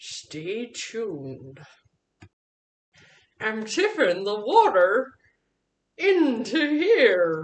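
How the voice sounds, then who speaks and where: A woman uses a cartoonish character voice with a fairly high pitch. She speaks very slowly, with long, frequent pauses. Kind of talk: puppet cooking show. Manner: excited, upbeat.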